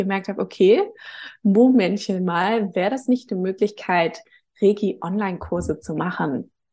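Over a quiet background, a woman speaks in a dark, mellow tone with vocal fry. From northern Germany, Hamburg. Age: 30s. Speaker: reiki teacher. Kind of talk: casual interview.

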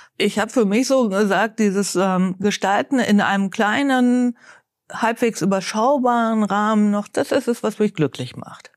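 A woman speaks at a fairly slow pace in an unremarkable speaking voice, fairly high in pitch with ordinary pitch variation, on a very clean recording with a silent background. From Bielefeld, eastern Westphalia. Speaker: head of a welfare association. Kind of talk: interview.

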